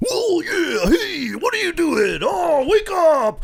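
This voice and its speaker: A put-on character voice at an extremely high pitch and a fairly slow pace. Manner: obnoxious, loud, hyped.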